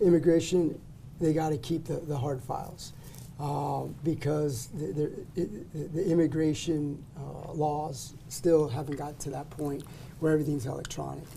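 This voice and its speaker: A dark, mellow tone comes through a somewhat breathy voice. The intonation is fairly even, and the pace is moderate. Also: man. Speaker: immigration lawyer. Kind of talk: casual interview chat.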